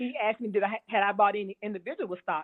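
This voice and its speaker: With an unremarkable speaking voice, a woman talks at a fairly quick pace and a fairly high pitch. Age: 60s. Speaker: experienced stock market investor. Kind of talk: interview.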